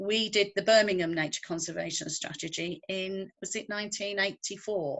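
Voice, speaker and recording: With a northwest English accent, a woman speaks at a fairly slow pace. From northwest England. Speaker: conservationist. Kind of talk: interview.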